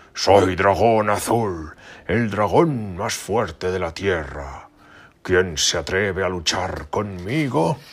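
Bellowing in a put-on character voice, a man speaks at a very slow pace with a very deep, low pitch. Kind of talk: bedtime story. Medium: read story. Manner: boastful, mocking, roaring.

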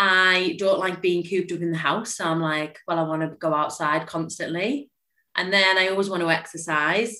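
Speaking with a Cumbrian accent, a woman talks at a moderate pace and a fairly low pitch, bright and sharp in tone, with fairly even intonation. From northern England, Cumbria. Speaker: physiotherapist. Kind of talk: casual chat.

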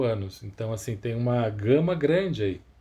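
The voice has a dark, mellow tone, somewhat breathy, with lively intonation. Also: man. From Campinas, interior of São Paulo state, Brazil. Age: 30s. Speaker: record label founder and vinyl collector. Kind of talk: podcast interview.

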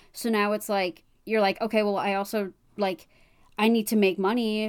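A woman talks at a moderate pace and medium pitch in an ordinary speaking voice. Her intonation is fairly even, and the recording is very clean with a silent background. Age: 20s. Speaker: podcast co-host. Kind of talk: casual chat.

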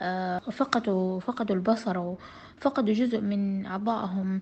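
A woman with a Hejazi accent speaks in a somewhat breathy voice. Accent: Hejazi Saudi Arabic. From Saudi Arabia, Jeddah (Hejaz). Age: 30s. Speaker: visually impaired trainer and guest. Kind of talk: interview.

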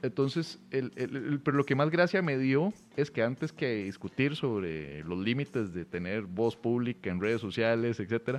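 Lively intonation runs through the speech at a moderate pace. The voice itself is an unremarkable speaking voice. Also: man. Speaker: podcast host and comedian. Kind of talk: casual chat. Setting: hotel room.

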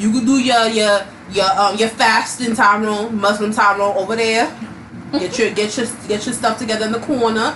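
Amid noticeable background noise and audible room echo, a woman's fairly high voice keeps fairly even intonation. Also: moderate pace. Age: 20s. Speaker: podcast co-host. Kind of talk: casual chat.

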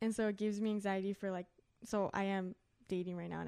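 A woman with an unremarkable speaking voice talks at a fairly quick pace and a medium pitch. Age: 20s. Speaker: podcast co-host. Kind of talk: casual chat.

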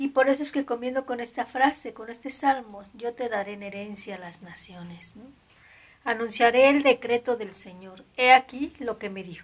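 A high-pitched woman at a moderate pace, with ordinary pitch variation and big swings in loudness. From Mexico. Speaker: nun. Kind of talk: spiritual reflection livestream. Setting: live stream.

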